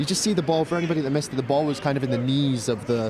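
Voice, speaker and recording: A man with a Scottish accent talks at a very fast pace with a fairly high pitch. His pitch variation is ordinary, and background noise is noticeable. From Scotland. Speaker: sports commentator. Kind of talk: live commentary.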